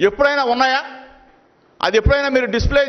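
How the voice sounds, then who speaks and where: An angry-toned man speaks at an extremely high pitch with fairly even intonation. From Andhra Pradesh, India. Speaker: state minister, politician; politician at press meet. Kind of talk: press conference tirade. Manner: angry, forceful; repetitive, emphatic. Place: meeting room. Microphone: podium.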